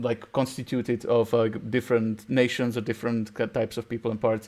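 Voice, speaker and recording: Against a quiet background, a man with a Czech accent speaks at a medium pitch and a fairly quick pace in a flat monotone. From Czech Republic. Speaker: podcast host. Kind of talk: casual chat. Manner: halting.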